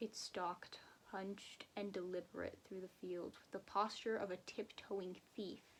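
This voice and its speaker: A woman talks at medium pitch. Her intonation is monotone and flat. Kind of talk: horror story reading.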